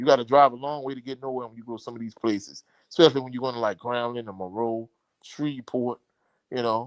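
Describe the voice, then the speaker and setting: The speaker has a strong Louisiana accent and talks at a very fast pace with fairly even intonation. Loudness swings widely, and the sound is dry and close with no echo. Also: man, medium pitch for a man. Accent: thick Louisiana. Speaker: sports commentator. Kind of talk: live stream chat.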